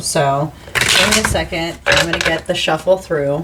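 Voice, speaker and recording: A woman's fairly low voice over noticeable background noise. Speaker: tarot reader. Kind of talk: tarot reading.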